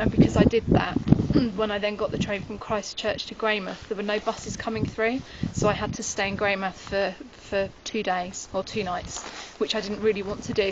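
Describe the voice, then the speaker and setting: Over noticeable background noise, a woman speaks at a fairly quick pace. Her medium pitch stays in a monotone, flat intonation. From United Kingdom. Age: 20s. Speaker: backpacker. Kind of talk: interview answer.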